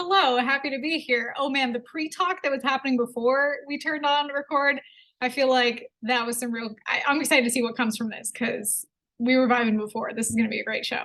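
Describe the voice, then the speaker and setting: Speaking at a fairly quick pace, a woman has a high pitch, a bright, sharp tone and ordinary pitch variation. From Canada, Edmonton. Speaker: entrepreneur. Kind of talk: casual interview.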